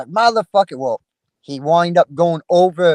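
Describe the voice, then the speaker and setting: At a moderate pace, a man with a high voice and ordinary pitch variation comes through in a dry, close sound with no echo. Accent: Down East Maine. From Maine (Down East). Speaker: lobster fisherman, Air Force veteran. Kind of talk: casual panel chat. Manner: casual, rambling with fillers.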